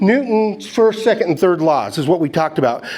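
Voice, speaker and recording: A man speaks with lively intonation, and some room echo can be heard. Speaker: gold prospecting instructor. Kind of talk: lecture.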